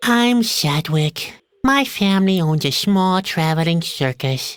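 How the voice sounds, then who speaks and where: A female-sounding, put-on character voice sits at a middle pitch. It moves at a fairly slow pace. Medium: video game. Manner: gloomy, deadpan, sarcastic.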